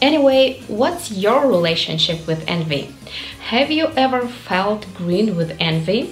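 Faint music plays behind a woman who talks at a fairly slow pace, her pitch swinging very widely. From Ukraine. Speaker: English learner. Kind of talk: casual talk to camera. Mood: warm, friendly. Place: home room.

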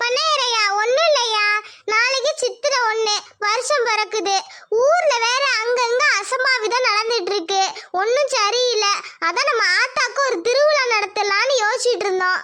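A woman's cartoonish character voice, extremely high-pitched and fairly slow. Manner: insistent.

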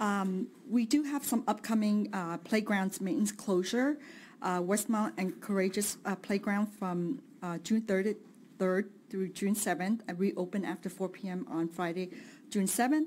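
Somewhat breathy, a woman talks at a fairly slow pace with ordinary pitch variation, with light background noise behind her. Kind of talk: meeting report. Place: hall. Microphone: podium.

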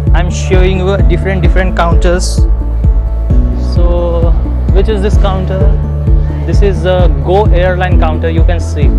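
Against loud music in the background, a man speaks at a fairly slow pace with ordinary pitch variation and a dry sound with no echo. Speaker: travel vlogger. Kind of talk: casual vlog tour narration. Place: hall. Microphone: phone near.

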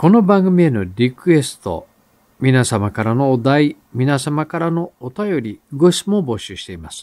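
A man's fairly high voice with a dark, mellow tone, fairly slow, with very wide pitch swings and big swings in loudness. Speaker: novelist and writing-course teacher hosting a radio-style show. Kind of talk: solo talk answering listener mail. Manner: hesitant with many fillers.

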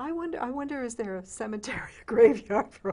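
Her tone dark and mellow, a woman talks at a fast pace with a fairly high pitch and lively intonation.

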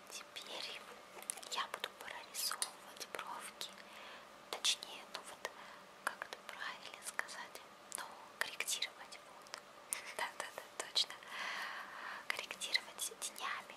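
Whispering at a very slow pace, a woman leaves long, frequent pauses. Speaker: ASMR creator. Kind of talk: ASMR roleplay, personal attention makeup. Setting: studio, ear to ear binaural microphone. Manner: whispered, soft. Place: home room. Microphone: phone near.

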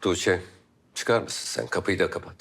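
Putting on a character voice, a man speaks at a low pitch with vocal fry, a fairly bright tone, lively intonation and a fairly slow pace, in a very clean recording with a silent background.

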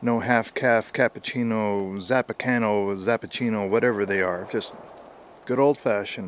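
A man talks at a moderate pace in a fairly low voice, his intonation fairly even. Light background noise sits under a dry sound with no echo. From Canada. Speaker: history and shooting video creator; shooting video creator. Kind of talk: vlog-style history talk. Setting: outdoors at an old wartime rifle range. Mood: relaxed, conversational. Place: forest. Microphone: phone near.

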